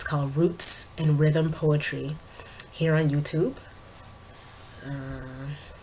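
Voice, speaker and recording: A woman speaks in a flat monotone at a very slow pace with long, frequent pauses. Background noise is noticeable. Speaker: vlogger and spoken word artist. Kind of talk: casual vlog update. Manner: casual, hesitant with fillers.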